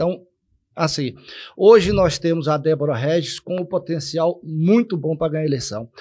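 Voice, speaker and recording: The man's intonation is lively as he speaks at a moderate speed. Behind him the background stays quiet. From Salvador, Bahia, Brazil; Bahia, Brazil. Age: 60s. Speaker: local political candidate; interview guest. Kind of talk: political interview. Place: studio. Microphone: studio mic.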